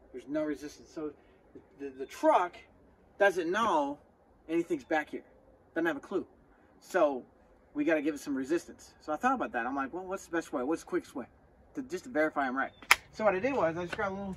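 A man talks at a very fast pace with a high pitch and lively intonation. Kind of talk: tutorial. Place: open country. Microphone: phone near.

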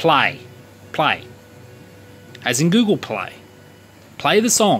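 A man talks fairly slowly with music behind him. His voice moves through very wide pitch swings. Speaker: electronics hobbyist. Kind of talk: unscripted casual talk to camera. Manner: hesitant, stuttering. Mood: playful, self-mocking. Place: workshop. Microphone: phone near.

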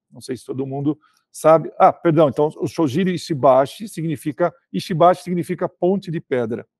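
At a moderate pace, a man speaks with ordinary pitch variation. The sound is dry with no echo, and the background is quiet. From Brazil. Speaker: sales director. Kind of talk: interview. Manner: hesitant, many filler words. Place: office. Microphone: video call.

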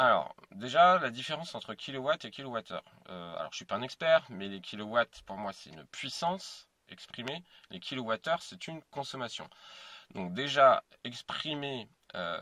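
A man's bright, sharp tone at a moderate pace, big swings in loudness, dry sound with no echo. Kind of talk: casual explanatory vlog. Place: car. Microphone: phone near.

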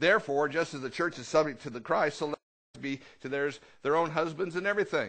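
A man talks at a very fast pace with a fairly high pitch. His pitch varies in an ordinary way, and the background is quiet. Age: 50s. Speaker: pastor. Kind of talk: fiery Pentecostal sermon, call-and-response with congregation. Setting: church. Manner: animated and repetitive, stammering restarts when excited; punchy rhetorical questions, drawing answers from the crowd. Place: church. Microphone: headset.

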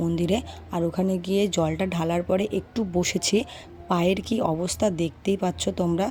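A woman speaks with a dark, mellow tone and fairly low pitch, somewhat breathy. Her intonation stays flat and monotone, her loudness very even. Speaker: vlogger. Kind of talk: casual vlog narration.

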